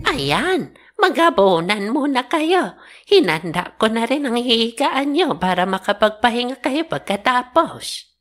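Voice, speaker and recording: A woman's cartoonish character voice, high-pitched with very wide pitch swings, at a fairly slow pace. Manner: gentle, old-fashioned, formal.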